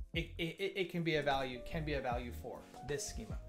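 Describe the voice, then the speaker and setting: Male speech with clear background music. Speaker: developer streamer. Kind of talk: live coding commentary. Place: home room.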